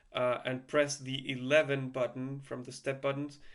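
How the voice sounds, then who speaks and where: With a non-native accent, a man speaks slowly-ish at a fairly slow pace, his fairly high pitch held in a monotone, flat intonation. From Chile. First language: Spanish. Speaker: music gear tutorial creator. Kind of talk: tutorial. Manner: halting, many fillers and repeats; casual.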